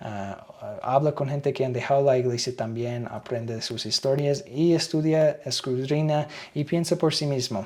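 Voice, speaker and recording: A man with a fairly high voice talks at a fairly slow pace, barely pausing at all. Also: ordinary pitch variation. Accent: non-native. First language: English (speaking Spanish). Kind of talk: reading aloud with commentary.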